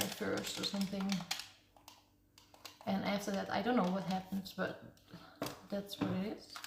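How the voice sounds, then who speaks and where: A woman is heard over noticeable background noise. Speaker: ASMR creator. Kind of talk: casual talk to camera, ASMR yapping about games.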